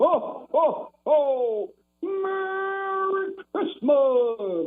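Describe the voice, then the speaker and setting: Extremely high in pitch, this is a put-on character voice. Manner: jolly.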